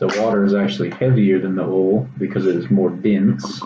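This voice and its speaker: A man speaks with a Texas accent in a dark, mellow tone. Audible room echo surrounds his voice. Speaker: college student. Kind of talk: science demonstration video. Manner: casual, hesitant with fillers.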